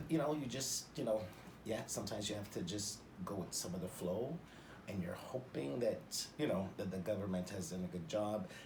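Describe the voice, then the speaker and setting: A man speaks with a Canadian accent at a moderate pace and a fairly low pitch. His voice is somewhat breathy, with lively intonation. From Northern Ontario, Canada. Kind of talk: interview answer. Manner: expressive, jovial.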